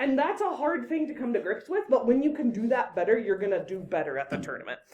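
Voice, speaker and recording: A woman's high voice at a very fast pace, with very wide pitch swings and noticeable background noise. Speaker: debate coach. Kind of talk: lecture.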